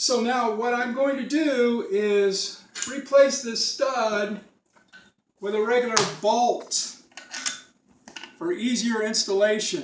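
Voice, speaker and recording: In a room with audible echo, a man with an extremely high pitch speaks at a very slow pace, with long, frequent pauses and ordinary pitch variation. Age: 70s. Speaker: retired DIY car repairer. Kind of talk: tutorial. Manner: casual.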